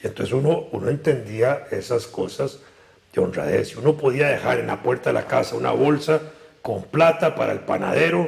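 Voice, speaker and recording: A man with a Costa Rican accent at a moderate pace, over noticeable background noise. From Costa Rica, San José. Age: 70s. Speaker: political analyst. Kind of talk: interview.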